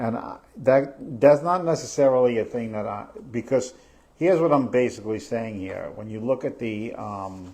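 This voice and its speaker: Speaking at a fairly slow pace, a man with a New York accent uses a medium pitch. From New York, Staten Island. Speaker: real estate podcast host. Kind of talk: live podcast discussion. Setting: live stream. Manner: halting, many fillers.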